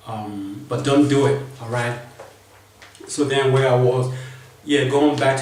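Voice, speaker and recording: With a non-native accent, a man speaks at a medium pitch and fairly slow pace in monotone, flat intonation, with audible room echo and noticeable background noise. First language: not English. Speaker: vlogger. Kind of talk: casual storytelling monologue. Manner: halting, repetitive.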